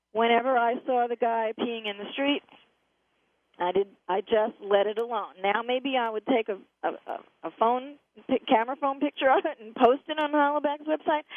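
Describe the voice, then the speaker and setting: This woman has a high-pitched voice with ordinary pitch variation. Her loudness swings widely. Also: moderate pace. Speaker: radio talk show host. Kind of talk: radio interview.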